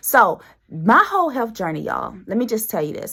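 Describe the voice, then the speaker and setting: A woman speaks at a fairly quick pace in a bright, sharp, animated tone with vocal fry and very wide pitch swings. The recording is very clean, with a silent background. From US South, Greenwood, South Carolina. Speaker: podcast host. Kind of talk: casual chat.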